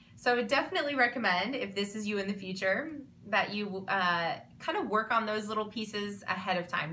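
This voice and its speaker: Audible room echo surrounds a woman's voice. She talks at a fairly quick pace with a medium pitch. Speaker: online clothing seller and vlogger. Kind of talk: vlog monologue. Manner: fast; animated.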